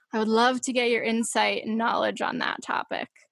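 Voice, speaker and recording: A woman talks at a fairly quick pace in an unremarkable speaking voice. Her pitch is fairly high. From Massachusetts, US. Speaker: podcast host. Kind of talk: casual chat. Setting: remote call.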